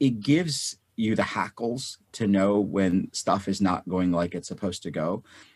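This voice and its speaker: A man speaks at a fairly slow pace in an ordinary speaking voice. The sound is dry and close with no echo, on a very clean recording with a silent background. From North India, moved to US as child. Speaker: physician and real estate investor. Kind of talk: interview.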